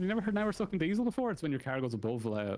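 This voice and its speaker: Against a silent background in a very clean recording, a man with an Irish accent talks at a very fast pace in an animated tone with very wide pitch swings. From Ireland. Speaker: esports commentator. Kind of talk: live commentary.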